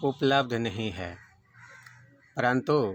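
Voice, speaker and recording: This man talks at a medium pitch. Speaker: devotional reader of a spiritual discourse. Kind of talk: spoken introduction to the book.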